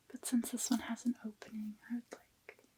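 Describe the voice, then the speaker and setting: A soft-spoken woman's high voice with a dark, mellow tone, at a moderate pace, in a dry, close sound with no echo. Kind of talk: ASMR soft-spoken talk.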